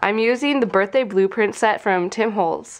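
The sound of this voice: At a moderate pace, a woman speaks in a nasal voice at a medium pitch, with ordinary pitch variation.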